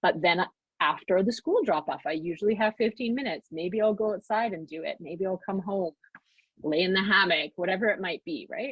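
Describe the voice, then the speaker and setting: A woman's medium-pitched voice moves along at a fairly quick pace, with ordinary pitch variation. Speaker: mom coach and workshop speaker. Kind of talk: online workshop talk. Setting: live video call. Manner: fast.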